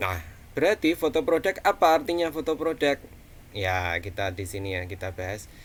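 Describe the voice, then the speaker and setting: A man with a Javanese accent talks with very wide pitch swings. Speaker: college lecturer. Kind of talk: online lecture. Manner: casual, many fillers.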